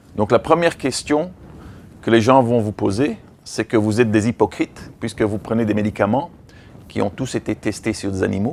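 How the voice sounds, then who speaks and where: A man with a non-native accent talks at a moderate pace and medium pitch, with ordinary pitch variation. The recording is very clean, with a silent background. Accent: foreign accent in French. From Belgium, raised in Africa. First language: English (speaking French). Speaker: veterinarian and activist trainer. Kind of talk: lecture. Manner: halting.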